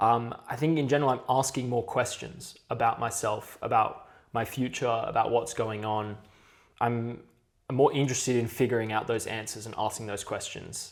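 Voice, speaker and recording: His intonation stays fairly even as a man speaks at a moderate pace. The pitch is medium. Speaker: podcast co-host. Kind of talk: casual chat. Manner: halting, filler words.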